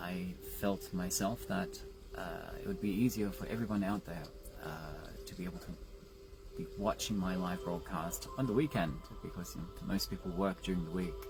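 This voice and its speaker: The voice moves at a moderate pace while music can be heard behind it. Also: man. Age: 40s. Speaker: social media personality. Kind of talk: casual livestream monologue. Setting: Facebook live stream. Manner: halting, many fillers.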